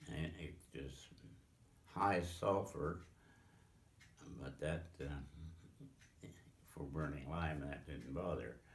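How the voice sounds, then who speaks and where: A man with a very deep, low pitch and vocal fry, in a Pennsylvania accent, at a very slow pace with long, frequent pauses and ordinary pitch variation. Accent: American, Pennsylvania. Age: 80s+. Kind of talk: interview answer. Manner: hesitant, slow.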